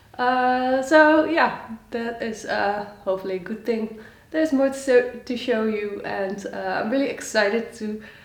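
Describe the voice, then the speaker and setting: With audible room echo and noticeable background noise, a woman speaks at a fairly slow pace with ordinary pitch variation. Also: fairly high pitch for a woman. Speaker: knitting podcaster. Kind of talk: casual chat. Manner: halting with many fillers.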